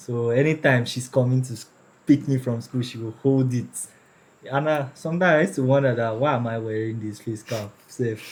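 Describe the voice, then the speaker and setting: Somewhat breathy, this man talks at a medium pitch with fairly even intonation. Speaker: person with albinism sharing his story. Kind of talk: personal storytelling in interview.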